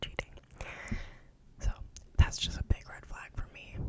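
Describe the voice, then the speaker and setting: A woman whispers over noticeable background noise. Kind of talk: ASMR Reddit story reading with personal commentary. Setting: home recording with background noise. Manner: casual, chatty, opinionated, rambling.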